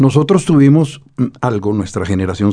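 This voice has a dark, mellow tone and ordinary pitch variation. It carries a Bogotá accent. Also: man. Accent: Bogotá accent, Santa Marta barely heard. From Colombia, Bogotá. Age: 60s. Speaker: poet and novelist. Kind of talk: interview.

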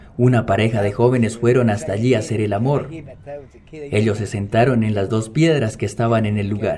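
A man with fairly even intonation speaks at a fairly quick pace as noticeable background noise plays beneath him. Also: medium pitch for a man. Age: young. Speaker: podcast narrator. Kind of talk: scripted narration.

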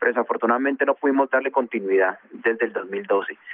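Fairly quick speech from a man at medium pitch. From Colombia, Bogotá (born in Chocó). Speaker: former footballer and coach. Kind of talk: radio interview. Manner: halting, with repetitions.

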